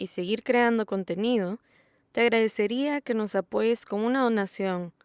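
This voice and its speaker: Woman with a Salvadoran accent at a medium pitch and fairly slow pace, ordinary pitch variation, very clean recording with a silent background, dry and close with no echo. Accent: Salvadoran accent, now speaking it normally. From El Salvador. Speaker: podcast host. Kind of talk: solo podcast narration. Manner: neutral Spanish in intro, then natural accent.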